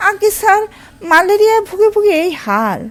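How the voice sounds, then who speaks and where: A woman uses a nasal, put-on character voice at an extremely high pitch. She keeps a moderate pace. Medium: read story. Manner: obsequious, fawning.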